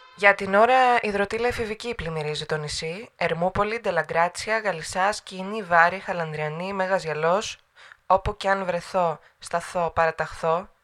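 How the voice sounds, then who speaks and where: A woman with a normal speaking voice talks at a fairly slow pace in a medium pitch with ordinary pitch variation on a very clean recording with a silent background. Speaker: narrator of own poem. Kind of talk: spoken-word poetry, performed monologue. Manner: rhythmic, incantatory, with clipped fragmented phrasing.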